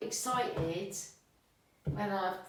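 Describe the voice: A woman with a fairly low pitch and a fairly bright tone speaks amid strong room echo.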